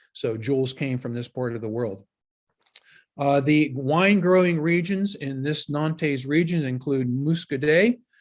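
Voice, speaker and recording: At a fairly slow pace, a man in a Pittsburgh accent speaks with a fairly high pitch and ordinary pitch variation. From Western Pennsylvania. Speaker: wine educator. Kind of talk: lecture.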